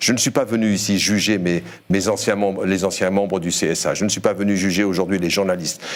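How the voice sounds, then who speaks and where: Fairly low in pitch, a man speaks at a fairly quick pace with fairly even intonation and very even loudness. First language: Berber (speaking French). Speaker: journalist, former broadcasting regulator member. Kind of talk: debate panel interview.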